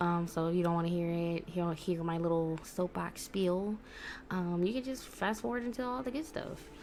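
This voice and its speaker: A soft-spoken woman talks at a moderate pace. Her pitch is fairly low, with ordinary variation. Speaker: gaming YouTuber. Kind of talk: casual vlog monologue. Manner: soft-spoken, talking low; hesitant, many fillers.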